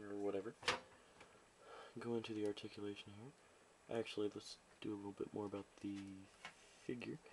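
The voice is quiet and moves at a moderate pace. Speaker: toy reviewer. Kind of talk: casual talk to camera. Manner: quiet, low volume.

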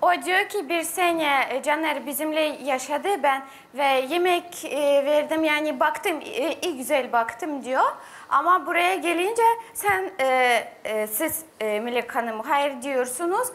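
A woman's high-pitched voice with lively intonation and a Russian accent, at a very slow pace. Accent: Russian-accented Turkish. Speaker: reality show contestant; guest. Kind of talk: reality TV talk. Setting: studio. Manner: halting. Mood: tense, hesitant. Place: studio. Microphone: lapel.

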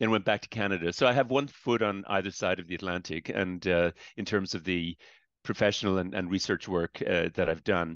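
A man's very deep, low voice with ordinary pitch variation, dry with no echo, against a quiet background. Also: fairly quick pace. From Ireland, Dublin. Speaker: professor emeritus. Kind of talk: lecture. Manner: hesitant, many fillers.

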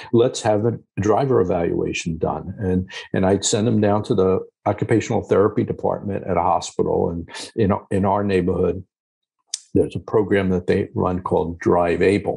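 A man's somewhat breathy, dark, mellow voice at a fairly low pitch, with a moderate pace, fairly even intonation and a quiet background. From US, Long Island, New York. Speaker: geriatrician and author. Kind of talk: casual interview. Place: office. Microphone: video call.

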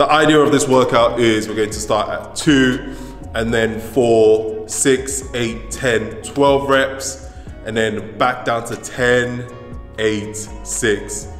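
Faint music plays in the background as a man speaks at a very slow pace amid audible room echo. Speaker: fitness coach. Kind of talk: workout tutorial vlog chat. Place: gym.

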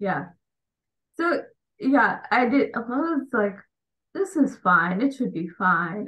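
Her pitch fairly high, a woman talks with an American accent. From US, Indian immigrant family. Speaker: embroidery business owner, engineer. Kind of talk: interview. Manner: hesitant, many fillers. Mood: relaxed, laughing. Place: home room. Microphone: video call.

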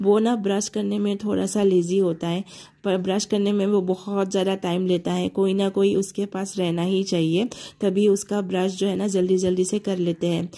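A woman speaks at a medium pitch and a moderate pace, dark and mellow in tone, with monotone, flat intonation. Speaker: homemaker vlogger. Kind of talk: vlog narration.

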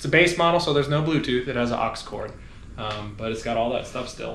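A man's voice with audible room echo. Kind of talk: casual explanation of car build. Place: garage. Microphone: phone near.

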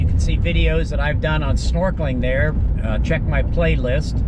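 Loud background noise accompanies a man speaking at a moderate pace with ordinary pitch variation, the sound dry with no echo. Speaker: local vlogger driving. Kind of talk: casual vlog chat. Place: car. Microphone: phone near.

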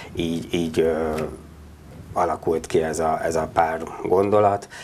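A man speaks in a very deep, low voice with flat, monotone intonation. Light background noise sits behind him. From Hungary, Budapest; Hungary. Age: 40s. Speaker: local politician, mayoral candidate; local politician, candidate. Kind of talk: studio interview. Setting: studio. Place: studio. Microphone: lapel.

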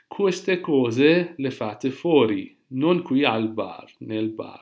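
Lively intonation shapes this man's speech. His voice sits at a medium pitch. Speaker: Italian language teacher. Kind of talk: tutorial.

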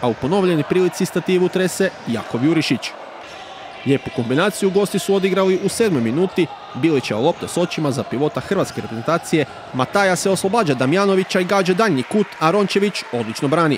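Over noticeable background noise, a man talks very fast in an energetic tone with lively intonation. His pitch is high, and his loudness stays very even. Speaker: sports commentator. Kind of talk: sports highlights commentary, voiceover recap of a futsal match. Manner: fast, energetic play-by-play delivery; clear, formal, report-style narration.

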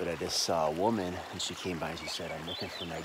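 Over loud background noise, a man talks at a fairly quick pace in a dry sound with no echo. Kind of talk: casual vlog chat. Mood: puzzled, recounting events. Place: waterside. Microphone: phone near.

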